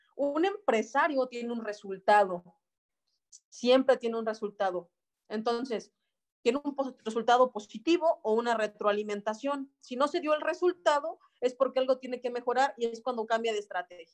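Her voice sits high for a woman, and her pitch moves in an ordinary way. She talks at a moderate pace. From Mexico, Celaya, Guanajuato. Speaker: network marketing team leader. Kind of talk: online training workshop. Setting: video call.

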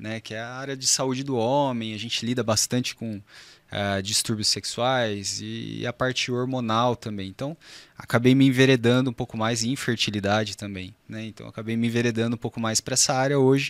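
With hardly any pauses, a man speaks at a moderate pace in an unremarkable speaking voice, medium in pitch with fairly even intonation, the sound dry and close with no echo. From Brazil, São José dos Campos (São Paulo state). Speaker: urologist. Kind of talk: podcast interview.

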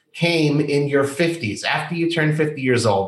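Noticeable background noise surrounds a man speaking at a moderate pace with a fairly high pitch. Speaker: podcast host. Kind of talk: interview.

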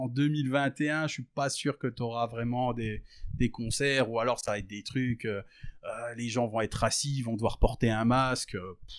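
A man of medium pitch speaks at a fairly slow pace with fairly even intonation on a very clean recording with a silent background. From rural France. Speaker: rapper. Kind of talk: casual interview. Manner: halting, many fillers.

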